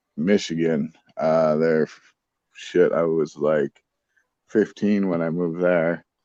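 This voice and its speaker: Speaking with an American accent, a man delivers very deep, low, dark, mellow tones in a monotone, flat line at a very slow pace, with long, frequent pauses. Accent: plain American tone. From Germany, near Berlin. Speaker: livestream participant, army veteran. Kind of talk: casual chat.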